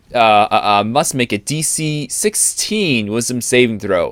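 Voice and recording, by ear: The text is read out loud. The voice sounds natural.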